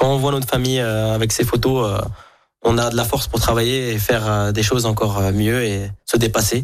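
A man with a medium pitch speaks in a monotone, flat intonation at a moderate pace. His loudness stays very even, and room echo is audible. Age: 20s. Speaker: chef and restaurant owner. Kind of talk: radio interview.

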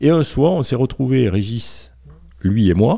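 A man with a dark, mellow tone, very wide pitch swings and a fairly slow pace, on a very clean recording with a silent background. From southern France, Garonne valley (Montauban/Toulouse). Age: 60s. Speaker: comic book author. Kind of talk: casual interview chat. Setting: at his home. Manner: hesitant, many fillers and repetitions.

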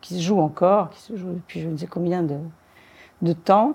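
A woman's dark, mellow voice at a moderate pace, with ordinary pitch variation. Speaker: crime novelist and former police commissioner. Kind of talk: interview. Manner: halting.

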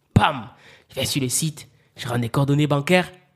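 A man speaks in an animated, somewhat breathy voice. His pitch is fairly high, with ordinary variation. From Cameroon, Yaoundé. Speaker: publisher and author. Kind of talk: interview.

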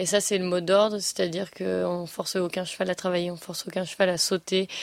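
The woman speaks at a medium pitch in a monotone, flat intonation. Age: 20s. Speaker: show jumping rider. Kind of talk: interview. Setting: at a competition venue.

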